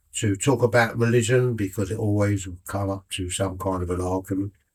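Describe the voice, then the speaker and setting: A man speaks in a somewhat breathy, fairly low voice with monotone, flat intonation on a very clean recording with a silent background. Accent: British. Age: 80s+. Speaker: retired airline worker. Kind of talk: interview.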